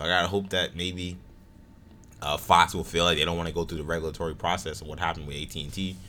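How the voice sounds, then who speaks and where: A man's very deep, low voice with a bright, sharp tone, flat monotone intonation and a very fast pace. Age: 20s. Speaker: podcast host. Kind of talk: casual chat.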